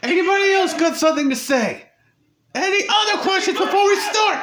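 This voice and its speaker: In a put-on character voice, a man speaks at an extremely high pitch. His pace is fairly quick. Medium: machinima. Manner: barking, impatient.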